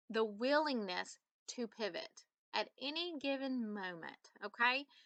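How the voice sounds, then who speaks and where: In a Southern US accent, a high-pitched woman speaks with lively intonation. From US South. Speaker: business coach. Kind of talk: tutorial. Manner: animated.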